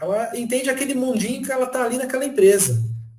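Audible room echo follows the speaker, who talks at a fairly quick pace. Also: man. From São Paulo state, Brazil (Franco da Rocha). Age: 30s. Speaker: technology professional. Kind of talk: casual interview chat.

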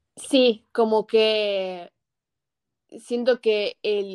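The woman's monotone, flat delivery comes through with a dry, close sound and no echo. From US Northeast and Buenos Aires, Argentina. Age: young. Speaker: student. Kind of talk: casual chat.

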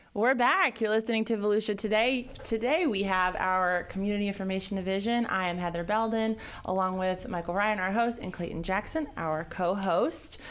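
Talking with hardly any pauses, a woman with a plain, everyday voice keeps a medium pitch and ordinary pitch variation. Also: moderate pace. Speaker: radio co-host.

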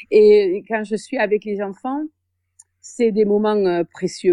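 Over a quiet background, a woman talks at a fairly slow pace. Her pitch sits in the medium range. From southern France, Béziers. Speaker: secondary school French teacher. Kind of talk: interview. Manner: hesitant, many fillers.

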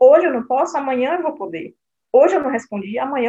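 Fairly quick, high-pitched speech from a woman. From Brazil. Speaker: nonprofit president. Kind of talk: casual interview.

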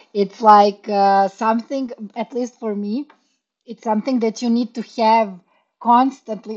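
Fairly slow and with ordinary pitch variation, this is an ordinary speaking voice. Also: woman. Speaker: podcast co-host. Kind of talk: casual interview conversation.

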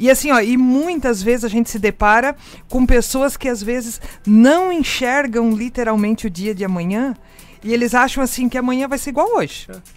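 A woman speaks in an animated tone with a high pitch. Her pitch varies in an ordinary way, and her pace is moderate. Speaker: radio host. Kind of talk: casual interview.

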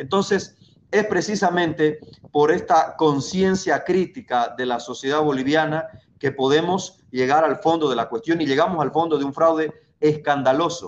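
A man with an ordinary speaking voice, fairly high in pitch, talks at a moderate pace with ordinary pitch variation. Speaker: political candidate. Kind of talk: political debate.

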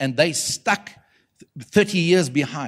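In a South African accent, a man with a fairly high pitch speaks at a moderate pace, his tone animated and his pitch variation ordinary. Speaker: prophetic preacher. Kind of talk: sermon to a live church audience. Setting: church conference with audience. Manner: animated, pulpit-style preaching with rhetorical questions and audience call-and-response.

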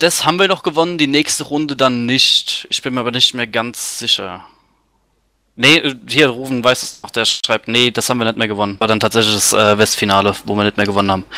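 A man at a medium pitch and moderate pace, bright and sharp in tone, with lively intonation. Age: 20s. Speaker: metal band drummer. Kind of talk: casual radio interview.

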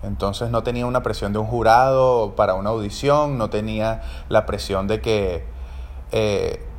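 A man speaks in a Caracas accent. He goes at a fairly slow pace. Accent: Venezuelan Spanish (Caracas). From Venezuela, Caracas. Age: 30s. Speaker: podcast host and orchestra trumpeter. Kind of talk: casual solo monologue.

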